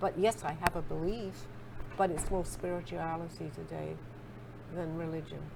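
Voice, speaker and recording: A woman with a fairly low voice talks at a moderate pace, leaving long, frequent pauses. Her intonation stays fairly even, and room echo is audible. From England. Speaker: spiritual author being interviewed. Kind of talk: interview conversation.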